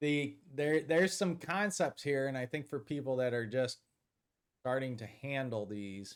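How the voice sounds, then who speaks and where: In a very clean recording with a silent background, a man with a normal speaking voice talks at a fairly slow pace, his medium pitch carrying lively intonation. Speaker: safety risk control consultant. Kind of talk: casual podcast discussion.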